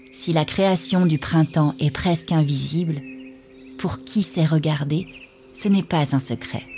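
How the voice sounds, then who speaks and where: Over music in the background, a woman with a very deep, low pitch talks at a very slow pace, with ordinary pitch variation and long, frequent pauses. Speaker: voice-over narrator. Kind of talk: poetic narration.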